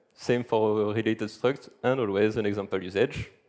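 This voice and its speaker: A man speaks with a strong French accent. His intonation stays fairly even. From France. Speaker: software engineer, conference speaker. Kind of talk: conference talk. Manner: fast.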